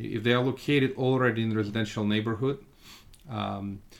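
Fairly even in intonation, a man speaks at medium pitch with a Russian accent. His pace is fairly quick. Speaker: real estate fund manager. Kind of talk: podcast interview.

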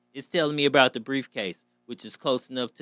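With a bright, sharp tone, a man talks animatedly at a fairly quick pace in a very clean, dry, close recording with a silent background and no echo. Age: 40s. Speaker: podcast host. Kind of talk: casual monologue.

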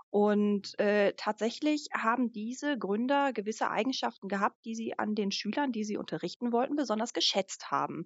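A woman with a normal speaking voice talks at a moderate pace with hardly any pauses, her fairly high pitch showing ordinary variation. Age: 30s. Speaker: live-action role-play organizer. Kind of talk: casual chat.

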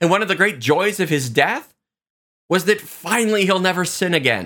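On a very clean recording with a silent background, a man with a bright, sharp tone speaks at a moderate pace. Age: 40s. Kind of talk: devotional reflection. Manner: conversational.

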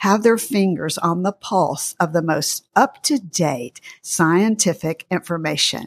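Speaking very slowly with a Southern US accent, a woman uses a fairly low pitch and lively intonation, recorded dry and close with no echo. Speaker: podcast host and dietitian. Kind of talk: interview discussion.

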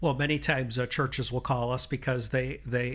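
On a very clean recording with a silent background, a man with an American accent speaks at a moderate pace. His medium-pitched voice has vocal fry and monotone, flat intonation. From northern Illinois, between Chicago and Milwaukee. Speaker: church insurance agent and elder. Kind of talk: casual interview. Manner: halting, many fillers.

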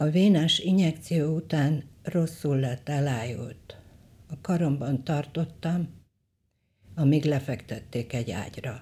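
A woman speaks very slowly with long, frequent pauses, her pitch very deep and low. Her tone is dark, mellow and somewhat breathy, with ordinary pitch variation. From western Hungary, Sárvár. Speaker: photographer. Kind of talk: reading aloud of memoir.

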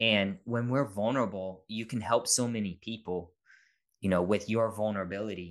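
A man speaks at a moderate pace in a fairly low pitch with fairly even intonation, a plain, everyday voice. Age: 30s. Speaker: dad content creator and podcaster. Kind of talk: casual interview chat.

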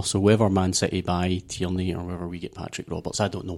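This man has a very deep, low voice with a dark, mellow tone. He speaks at a fairly quick pace with a Glasgow accent. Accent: Scottish, Glasgow. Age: 30s. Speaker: football podcast panelist. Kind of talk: casual chat.

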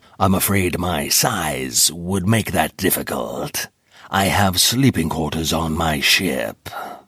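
A man puts on a character voice with a very deep, low pitch. He delivers it at a fairly slow pace. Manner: formal, matter-of-fact.

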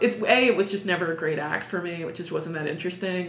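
Amid noticeable background noise and audible room echo, a woman with an American accent speaks at a fairly quick pace. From New York City (Manhattan, Upper East Side). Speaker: sword swallower and performer. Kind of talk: interview.

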